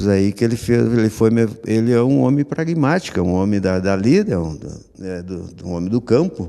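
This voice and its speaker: A man's fairly low, dark, mellow voice carries lively intonation at a moderate pace. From southern Brazil, Rio Grande do Sul (Missões region). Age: 60s. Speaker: artist, sculptor. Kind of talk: radio interview. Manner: halting, many restarts.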